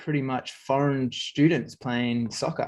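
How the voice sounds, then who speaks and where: Over a quiet background, a man with an Australian accent speaks at a fairly quick pace with fairly even intonation. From far north Queensland, Australia. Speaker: interview guest. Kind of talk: interview.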